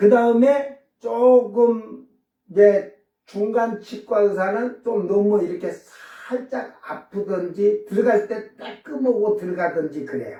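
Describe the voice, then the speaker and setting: Very slow speech from a man pitched high, ordinary pitch variation, audible room echo around it. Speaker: pastor. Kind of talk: sermon.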